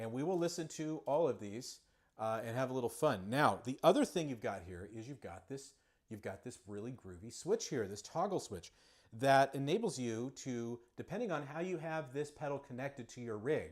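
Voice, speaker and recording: In a very clean recording with a silent background, a man of medium pitch speaks at a moderate pace with lively intonation and big swings in loudness. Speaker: guitar pedal reviewer. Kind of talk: livestream product demo. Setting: livestream. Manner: halting, many fillers.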